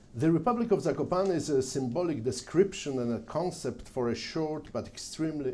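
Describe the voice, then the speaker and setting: With a Polish accent and audible room echo, a man talks at a moderate pace, his pitch varying in an ordinary way. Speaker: journalist and mountain guide giving a history talk. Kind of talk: lecture. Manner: reading from prepared text.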